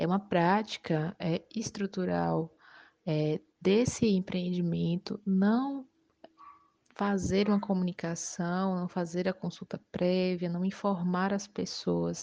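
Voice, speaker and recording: In a dry, close sound with no echo, a woman speaks at a very slow pace with a dark, mellow tone. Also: medium pitch for a woman, fairly even intonation. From Bahia, Brazil (Utinga). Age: 20s. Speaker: lawyer. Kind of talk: interview.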